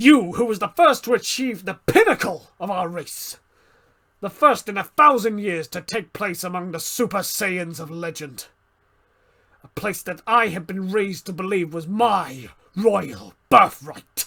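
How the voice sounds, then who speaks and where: On a very clean recording with a silent background, a man does a gravelly, put-on character voice at a high pitch. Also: moderate pace. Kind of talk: dramatic monologue performance. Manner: intense, dramatic.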